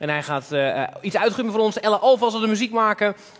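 This man talks very fast at a high pitch. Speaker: talk show host. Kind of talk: live talk show. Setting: stage with audience. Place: stage. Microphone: headset.

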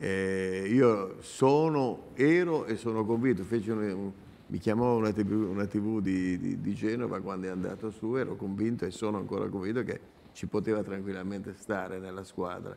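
A man's dark, mellow voice at a fairly low pitch, moderate pace and ordinary pitch variation. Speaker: football pundit. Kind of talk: sports talk show discussion. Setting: remote link. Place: studio. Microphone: lapel.

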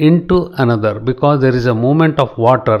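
A man with a Karnataka accent, medium in pitch, with ordinary pitch variation. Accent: Indian English (Kannada). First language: Kannada. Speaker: English grammar tutor. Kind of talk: lecture. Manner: slow, repetitive explanatory.

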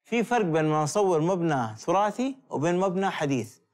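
This man's high pitch and lively intonation move at a moderate pace over a quiet background. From Saudi Arabia, Jeddah; Saudi Arabia. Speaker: photographer; guest. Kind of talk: interview. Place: studio.

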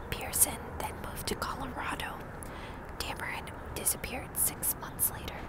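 A woman whispers breathily at a moderate pace, the sound dry with no echo and loud background noise behind her. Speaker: true crime narrator. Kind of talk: casual vlog chat reading case details. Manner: breathy close-mic ASMR whisper. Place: street. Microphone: earbuds.

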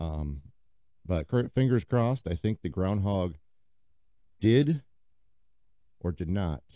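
A man with an American accent speaks very slowly at a very deep, low pitch, his dark, mellow tone carrying lively intonation between long, frequent pauses, the sound dry with no echo against a quiet background. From US Midwest (Quad Cities, Iowa/Illinois); Iowa. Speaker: podcast host, paddleboard enthusiast; podcast host. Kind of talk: casual solo podcast monologue. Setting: home basement. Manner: casual, filler-heavy (lots of um, uh). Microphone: studio mic.

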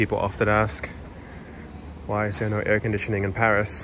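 Against clear background noise, a man talks at a fairly quick pace and fairly low pitch with monotone, flat intonation.

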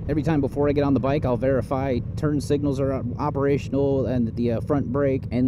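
A man talks at a fairly quick pace. The sound is dry with no echo, though background noise is noticeable. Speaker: motorcycle commuter vlogger. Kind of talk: casual vlog chat. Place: motorbike.

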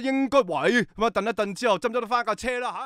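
A man's extremely high voice, bright and sharp, dry and close with no echo, on a very clean recording with a silent background. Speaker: sports commentator. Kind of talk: live motorsport commentary.

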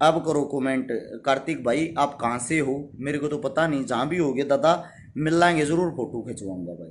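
Over light background noise, a man speaks in a Haryanvi accent with a fairly high pitch. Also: ordinary pitch variation, moderate pace. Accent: Haryanvi-accented Hindi. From Haryana, India. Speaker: social worker and YouTuber; YouTuber. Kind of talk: live stream address to followers. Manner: forceful, blunt delivery. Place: home room. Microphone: phone near.

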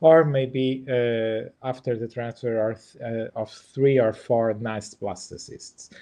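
In a Portuguese accent, a man speaks at a very slow pace with fairly even intonation against a quiet background. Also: hardly any pauses. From Portugal. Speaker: embryologist and IVF lab director; presenter. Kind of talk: webinar presentation and Q&A. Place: home room. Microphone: webcam.

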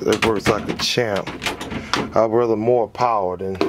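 A man is speaking. Loud background noise surrounds his voice. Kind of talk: casual vlog chat. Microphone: phone near.

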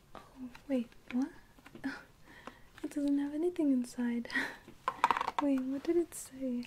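The speaker is soft-spoken and goes at a fairly slow pace with long, frequent pauses. Noticeable background noise runs underneath. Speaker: ASMR unboxing creator. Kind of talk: ASMR unboxing, soft-spoken talk to camera. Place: home room.

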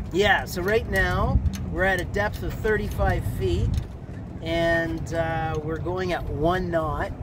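A man speaks at a very slow pace. The sound is dry with no echo, though there is noticeable background noise. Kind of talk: interview answer. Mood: relaxed, cheerful. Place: boat. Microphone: phone near.

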